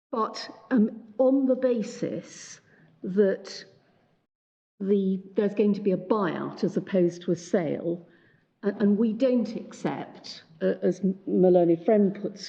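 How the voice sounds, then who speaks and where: Somewhat breathy and mumbling, a woman of medium pitch speaks at a fairly slow pace with ordinary pitch variation. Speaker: barrister. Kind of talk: court submission. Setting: courtroom. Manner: halting. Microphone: muffled by face mask.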